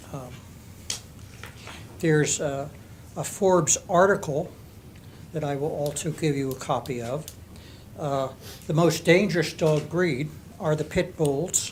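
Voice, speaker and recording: A man with a fairly high pitch and a somewhat breathy voice speaks at a fairly slow pace with ordinary pitch variation. Long, frequent pauses break up his speech. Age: 80s+. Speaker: resident speaking at public comment. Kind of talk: public comment. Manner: halting.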